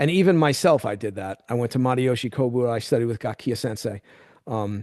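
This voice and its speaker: This man has an unremarkable speaking voice at medium pitch with ordinary pitch variation and a fairly quick pace. The sound is dry and close with no echo, over a quiet background. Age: 60s. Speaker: karate instructor. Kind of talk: interview conversation.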